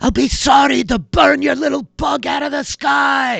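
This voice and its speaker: Doing a put-on character voice, a man pitches it extremely high. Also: moderate pace. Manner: threatening.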